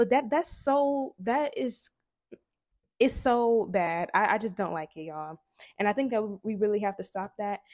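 A woman's fairly high voice at a moderate pace, with lively intonation and a very clean recording over a silent background. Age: 20s. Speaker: podcast host. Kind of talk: casual monologue. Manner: animated.

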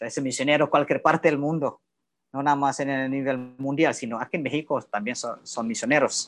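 Over a quiet background, a man talks fairly quickly in an ordinary speaking voice, his fairly high pitch kept to fairly even intonation. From Indonesia. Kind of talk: casual interview.

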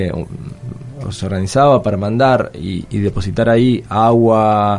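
There is noticeable background noise. A man speaks at a medium pitch with ordinary pitch variation. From southern Argentina (Patagonia). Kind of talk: radio interview. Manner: halting, many fillers.

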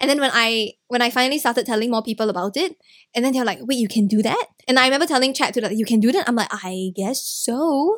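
A woman's high-pitched voice at a very fast pace, with ordinary pitch variation. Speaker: Twitch streamer, startup worker. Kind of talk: casual chat.

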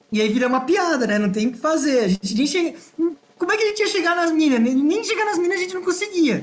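Very fast speech comes from a man whose pitch swings very widely. Background noise is noticeable throughout. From Brazil, Ibiúna (São Paulo state). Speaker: podcast co-host. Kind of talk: casual chat.

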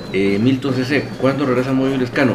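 A man speaks at a fairly quick pace and medium pitch with ordinary pitch variation, while noticeable background noise and audible room echo fill the recording. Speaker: football fan podcast host. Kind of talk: live-streamed casual football talk. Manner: enthusiastic.

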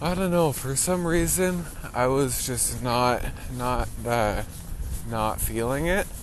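A man's medium-pitched voice with lively intonation, a very slow pace, and noticeable background noise. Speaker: podcast co-host. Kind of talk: casual chat, joking. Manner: joking, playful.

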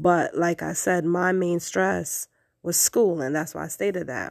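A woman with an American accent and a plain, everyday voice speaks at a moderate pace with a fairly low pitch. The recording is very clean, with a silent background. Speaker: podcast host. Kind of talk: personal monologue.

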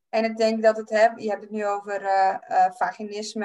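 An ordinary speaking voice from a woman, fairly high in pitch, at a moderate pace. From Friesland, Netherlands. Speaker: podcast host and life coach. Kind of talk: casual chat.

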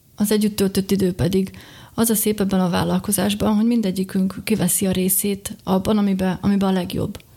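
On a very clean recording with a silent background, a woman speaks at a fairly quick pace with a medium pitch. Her dark, mellow tone is somewhat breathy, with very even loudness and monotone, flat intonation. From Slovakia, Bodrogköz (Hungarian minority). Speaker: beekeeper and small business owner. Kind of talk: interview.

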